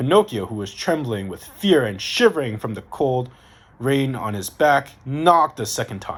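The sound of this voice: With lively intonation, the speaker reads in an unforced voice.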